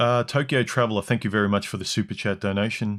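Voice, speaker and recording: The voice belongs to a man and sits fairly low in pitch. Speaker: livestream host. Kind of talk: livestream commentary.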